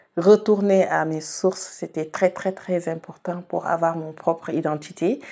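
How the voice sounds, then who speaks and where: The voice has a dark, mellow tone and fairly even intonation. It moves at a very slow pace. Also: woman. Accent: Senegalese. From Senegal, Saloum region. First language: Wolof (speaking French). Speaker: singer-songwriter. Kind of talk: interview. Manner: hesitant, with fillers and repetitions.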